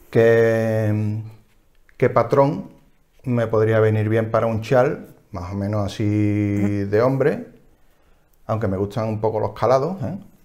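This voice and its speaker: In an Andalusian accent, a man speaks very slowly with long, frequent pauses and fairly even intonation. His tone is dark and mellow, over a quiet background. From Seville, Andalusia. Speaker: knitting podcast co-host; podcast co-host. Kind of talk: casual chat. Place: home room. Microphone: lapel.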